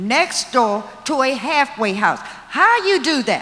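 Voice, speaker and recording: With an American accent, a woman speaks at a high pitch that swings very widely, over noticeable background noise. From Washington DC (Trinidad neighborhood). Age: 70s. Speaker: community resident. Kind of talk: public comment at forum.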